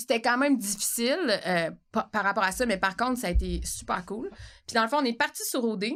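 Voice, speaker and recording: Lively, animated woman's voice with a fairly high pitch, vocal fry and a fairly quick pace. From Quebec. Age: 40s. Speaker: podcast host and actress. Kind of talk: casual chat.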